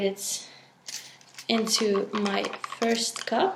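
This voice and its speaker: The intonation stays monotone and flat over noticeable background noise. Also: woman. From Belgium. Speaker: resin art creator. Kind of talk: tutorial. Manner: hesitant with fillers.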